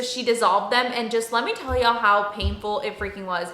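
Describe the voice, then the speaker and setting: Noticeable background noise surrounds a woman with a Texan accent. Her pitch is fairly high and her intonation fairly even. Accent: Texan American English. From Dallas, Texas. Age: 30s. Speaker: beauty and lifestyle vlogger. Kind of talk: casual talk to camera.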